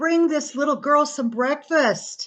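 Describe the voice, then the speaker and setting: A woman uses a put-on character voice, raised and projected, with a high pitch. She goes at a fairly slow pace. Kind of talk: bedtime story. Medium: read story. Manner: gentle, calm.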